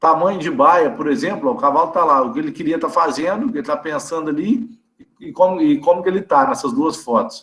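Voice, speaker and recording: A man with a high voice moves fairly quickly, his pitch swinging very widely. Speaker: veterinarian lecturer. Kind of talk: online lecture. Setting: video call. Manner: fast; casual, conversational.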